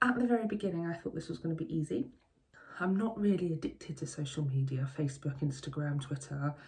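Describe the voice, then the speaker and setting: This woman's voice is very deep and low, with a dark, mellow tone. She sounds somewhat breathy, and her intonation is lively. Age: 40s. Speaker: media teacher. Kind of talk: interview testimony. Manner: hesitant, many ums.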